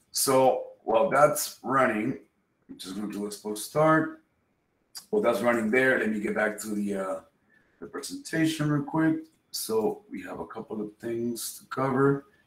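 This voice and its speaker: With a Spanish accent, a man speaks with lively intonation and big swings in loudness, in audible room echo. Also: moderate pace. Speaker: software developer and instructor; instructor. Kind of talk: technical presentation. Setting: video call. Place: home room.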